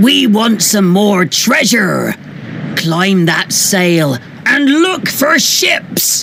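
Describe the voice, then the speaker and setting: A put-on character voice at a middle pitch moves at a very slow pace. Background noise is clear. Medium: read story. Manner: loud, gruff, shouting.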